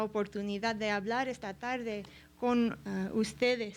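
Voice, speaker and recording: Delivery moves at a very slow pace. The intonation stays fairly even. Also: woman. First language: English (speaking Spanish). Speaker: art history professor. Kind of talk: lecture. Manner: halting, many fillers.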